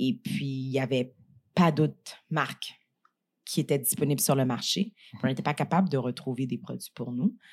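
This woman has a very deep, low voice with ordinary pitch variation and leaves long, frequent pauses. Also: moderate pace. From Montreal, Quebec (Saint-Michel, Montréal-Nord). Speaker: entrepreneur and business leader. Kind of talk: casual interview. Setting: studio, eating a meal during recording.

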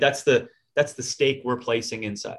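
The man's voice is medium in pitch and somewhat breathy. He keeps a moderate pace. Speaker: fitness podcast co-host. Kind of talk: casual chat.

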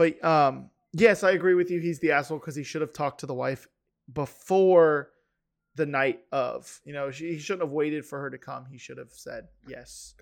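A man with a plain, everyday voice talks at a moderate pace with a fairly high pitch, fairly even intonation and big swings in loudness. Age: 20s. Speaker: podcast host. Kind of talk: casual chat. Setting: video call.

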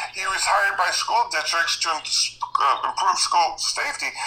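Noticeable background noise accompanies a man who talks at a fairly slow pace. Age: 60s. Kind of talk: casual chat.

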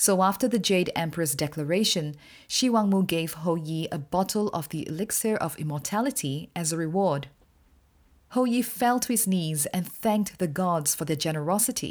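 On a very clean recording with a silent background, a woman with a fairly low pitch speaks in a plain, everyday voice at a moderate pace, with lively intonation. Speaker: podcast host and storyteller. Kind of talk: folk tale narration, storytelling in a measured, vivid, dramatic style; scripted podcast intro and outro. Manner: measured, expressive storyteller pacing; warm, friendly, informative.

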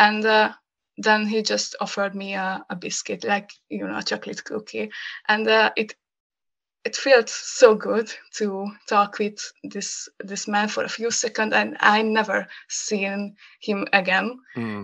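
A woman with a Hungarian accent, fairly slow in pace, her loudness swinging widely from moment to moment. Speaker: graphic designer. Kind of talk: casual chat. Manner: halting.

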